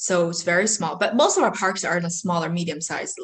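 Someone speaks with a Chinese accent in a somewhat breathy voice. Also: woman. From China. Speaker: mobile home park investor. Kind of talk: interview.

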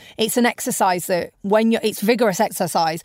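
In a British accent, a woman speaks at medium pitch and a fairly quick pace with an animated tone. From UK. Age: 30s. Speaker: entrepreneur. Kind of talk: interview.

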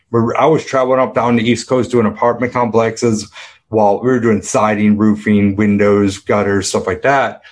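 A man's medium-pitched voice at a moderate pace, with very even loudness. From upstate New York. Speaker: business coach. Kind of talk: interview conversation. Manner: animated.

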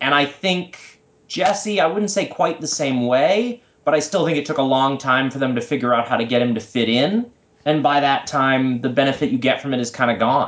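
Talking at a moderate pace with an American accent, the man has a normal speaking voice, fairly high in pitch with ordinary pitch variation. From US Northeast (Massachusetts). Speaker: wrestling fan podcast guest. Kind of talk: casual chat.

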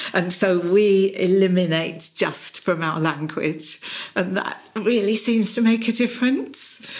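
Over noticeable background noise, a woman with a British accent talks at a fairly slow pace and a medium pitch. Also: ordinary pitch variation. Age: 60s. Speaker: executive and personal coach. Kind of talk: interview.

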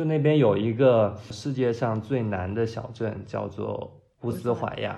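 A man with a medium pitch talks with ordinary pitch variation. His voice carries audible room echo. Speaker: designer. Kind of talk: casual chat.

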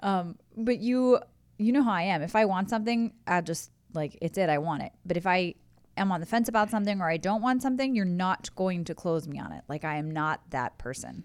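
On a very clean recording with a silent background, a woman with an American accent speaks at a fairly quick pace in a medium pitch with lively intonation. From US Midwest, Columbus, Ohio. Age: 30s. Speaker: host's wife. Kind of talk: casual chat. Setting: studio.

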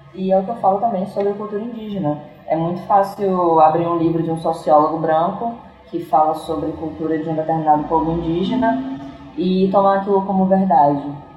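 A woman's fairly low voice at a fairly quick pace with ordinary pitch variation, with audible room echo and noticeable background noise. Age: 20s. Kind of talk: casual interview conversation.

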